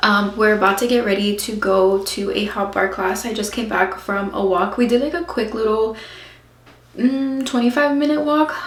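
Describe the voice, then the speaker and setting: A woman speaks at a fairly high pitch. Audible room echo and noticeable background noise accompany her voice. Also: ordinary pitch variation, moderate pace. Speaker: mom vlogger. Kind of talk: casual vlog chat.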